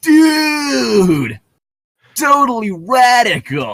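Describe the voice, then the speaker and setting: A put-on character voice at a fairly high pitch. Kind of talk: nineties slang. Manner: exaggerated, upbeat.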